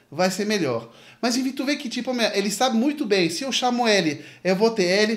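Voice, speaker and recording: A man at a high pitch and a moderate pace, in an animated tone. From France. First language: French (speaking Portuguese). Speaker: music career coach, YouTuber. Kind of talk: video commentary to camera. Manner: casual, animated. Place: home room.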